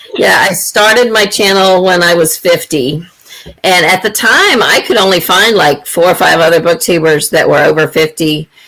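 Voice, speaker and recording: The delivery moves at a moderate pace with very even loudness and ordinary pitch variation. Noticeable background noise runs underneath. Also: woman, fairly low pitch for a woman. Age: 50s. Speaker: booktuber. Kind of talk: casual chat.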